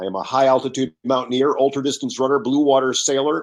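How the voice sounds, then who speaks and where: A man with a plain, everyday voice at a medium pitch, with an American accent and a fairly quick pace, over a quiet background. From northeastern US, Connecticut. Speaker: business coach and author. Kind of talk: podcast interview.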